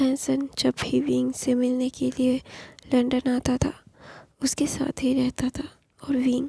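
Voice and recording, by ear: A woman with a high pitch but a dark, mellow tone speaks fairly slowly in a monotone, flat way, her voice husky with a rough edge and vocal fry, in a dry, close sound with no echo.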